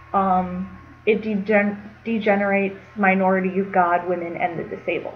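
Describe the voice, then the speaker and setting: Noticeable background noise sits behind a woman speaking at a moderate pace. Her intonation is flat and monotone. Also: medium pitch for a woman. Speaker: college freshman. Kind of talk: casual talk to camera. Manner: hesitant, with ums and stuttering.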